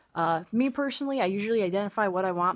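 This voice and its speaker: On a very clean recording with a silent background, a woman speaks fairly quickly. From Michigan. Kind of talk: accent demonstration talk to camera. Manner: casual, chatty.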